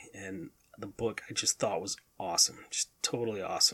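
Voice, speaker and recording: Moderate pace, with monotone, flat intonation. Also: man. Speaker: solo podcast host. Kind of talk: casual solo monologue. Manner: rambling, talkative.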